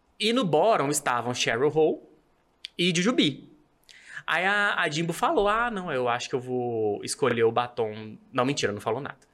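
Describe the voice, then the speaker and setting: On a very clean recording with a silent background, a man with a fairly high pitch talks at a moderate pace, his pitch swinging very widely. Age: 30s. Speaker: civil servant, podcast guest. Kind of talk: casual chat.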